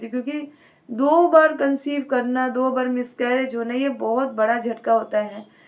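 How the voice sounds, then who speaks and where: A woman speaks in a high voice. Her intonation is fairly even. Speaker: YouTuber giving pregnancy advice. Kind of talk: casual vlog advice talk.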